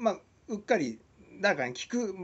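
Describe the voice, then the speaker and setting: A man speaks with vocal fry. His pitch swings very widely. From Shizuoka, Japan; Japan. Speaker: musician and video blogger; video blogger. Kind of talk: casual monologue vlog. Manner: hesitant with many fillers. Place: home room. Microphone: webcam.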